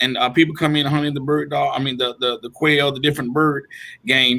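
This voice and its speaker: With a Georgia accent, a man speaks at a moderate pace in a fairly high pitch. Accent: US South, Georgia. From Georgia, Waynesboro. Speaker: mayor. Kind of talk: interview.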